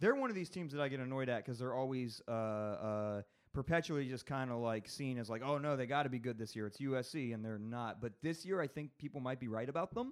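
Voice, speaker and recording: In an ordinary speaking voice, a man talks at a fairly quick pace with hardly any pauses, keeping a medium pitch with ordinary variation. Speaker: comedian and college football fan. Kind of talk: casual banter, sports talk.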